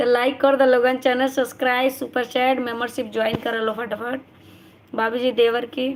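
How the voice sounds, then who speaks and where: At a fairly slow pace, a woman speaks in a high pitch with monotone, flat intonation. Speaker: live-stream vlogger. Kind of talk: casual live-stream chat reading comments. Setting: live stream.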